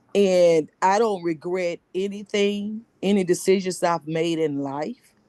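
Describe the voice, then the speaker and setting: Very slow, fairly even speech from a woman, medium in pitch, with a dark, mellow tone. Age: 60s. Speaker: book study group participant. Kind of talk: casual group discussion, personal sharing.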